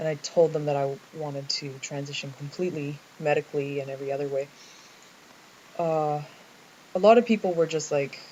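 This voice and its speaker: In a Canadian accent, the speech runs at a fairly quick pace broken by long, frequent pauses. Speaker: vlogger. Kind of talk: personal video diary. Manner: halting, many fillers.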